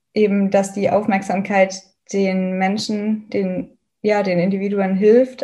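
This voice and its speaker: The woman speaks at a fairly slow pace with a medium pitch. Her voice is somewhat breathy and her intonation monotone and flat. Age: 20s. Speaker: student activist. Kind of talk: interview.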